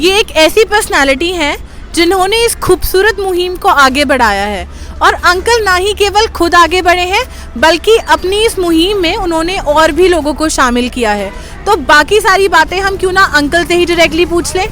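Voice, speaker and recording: A woman's extremely high pitch and lively intonation, amid noticeable background noise. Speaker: video host. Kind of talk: casual talk to camera.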